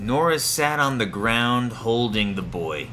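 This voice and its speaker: Music plays in the background as a man with an American accent speaks at a fairly low pitch with lively intonation. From United States. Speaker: English teacher. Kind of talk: graded story reading for English learners. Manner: clear, slowly paced narration.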